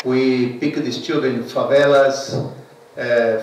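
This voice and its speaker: With a Brazilian Portuguese accent, a man speaks at a very slow pace in a medium pitch with fairly even intonation, while music plays in the background and audible room echo fills the space. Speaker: karate federation president. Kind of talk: press conference. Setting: media conference. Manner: halting.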